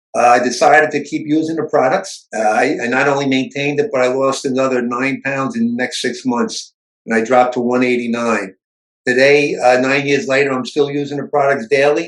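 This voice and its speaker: This man talks at a fairly quick pace, with a medium pitch and ordinary pitch variation. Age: 60s. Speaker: retired police officer. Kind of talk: testimony. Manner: hesitant with many fillers.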